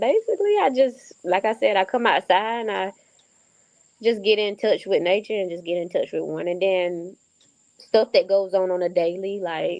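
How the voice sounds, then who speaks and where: Moving at a moderate pace, a woman with a Southern US accent speaks at a medium pitch with fairly even intonation. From North Carolina, USA. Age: 20s. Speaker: author and film director. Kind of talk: interview answer.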